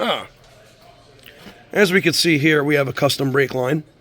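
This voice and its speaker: A man speaks at a fairly high pitch with ordinary pitch variation while music plays in the background. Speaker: mechanic. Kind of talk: video walkthrough of a vehicle inspection. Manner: animated.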